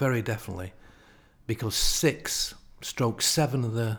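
In a very clean recording with a silent background, a man with a Lancashire accent speaks at a medium pitch, somewhat breathy. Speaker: retired PE teacher. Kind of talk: casual chat.

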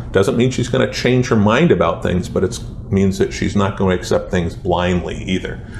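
A man with an American accent and a fairly low pitch talks at a moderate pace with very wide pitch swings, over noticeable background noise. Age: 50s. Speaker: retired police sergeant and attorney. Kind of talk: casual interview.

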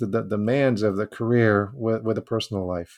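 In a plain, everyday voice, a man of medium pitch talks at a fairly quick pace against a quiet background. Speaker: podcast co-host. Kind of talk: podcast interview.

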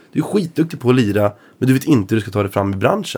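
A man speaks at medium pitch with lively intonation and a fairly quick pace. He has a normal speaking voice. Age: 20s. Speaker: blues guitarist. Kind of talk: casual chat.

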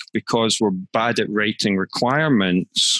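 A man with a plain, everyday voice talks at a moderate pace and medium pitch, with ordinary pitch variation. The sound is dry and close, without echo. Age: 50s. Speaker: management consultant and author. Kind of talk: interview.

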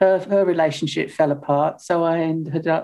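A woman speaks at a moderate pace in a very deep, low voice with a dark, mellow tone and flat, monotone intonation. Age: 70s. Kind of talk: casual interview chat.

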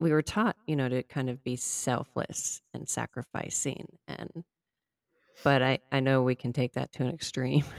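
With a very deep, low pitch and vocal fry, a woman talks at a moderate pace with ordinary pitch variation, the sound dry and close with no echo. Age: 40s. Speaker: podcast host. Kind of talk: casual interview chat.

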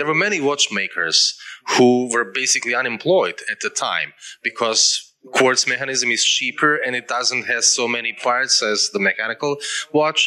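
At a moderate pace, a man with a medium pitch and ordinary pitch variation is heard against noticeable background noise. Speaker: festival moderator. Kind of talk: on-stage interview and Q&A. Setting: stage with audience. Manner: halting.

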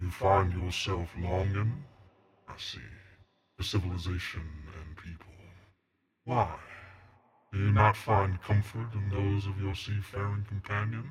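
A man puts on a character voice at a fairly low pitch and a moderate pace. He leaves long, frequent pauses. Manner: unsettling.

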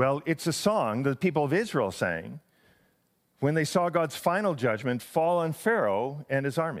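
A man with a plain, everyday voice, fairly high in pitch, lively intonation, very even loudness and a moderate pace, on a very clean recording with a silent background. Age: 60s. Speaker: senior pastor. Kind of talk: sermon.

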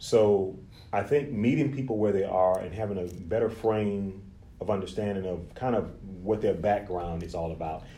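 A man speaks at a moderate pace in a dark, mellow, somewhat breathy tone with fairly low pitch. His pitch varies in an ordinary way, and there is audible room echo. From Louisiana, Lake Charles. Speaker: therapist. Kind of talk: interview.

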